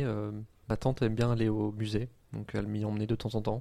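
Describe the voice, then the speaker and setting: A man's medium-pitched voice, dark and mellow in tone, at a fairly quick pace. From northern France (Oise, near Compiègne). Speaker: university student. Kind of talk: interview. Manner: halting.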